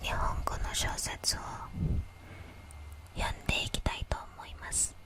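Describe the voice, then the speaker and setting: The speech is whispered. There is noticeable noise in the background. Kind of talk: whispered ASMR self-introduction in Japanese. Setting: close-mic ear-to-ear ASMR recording. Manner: whispered, soft.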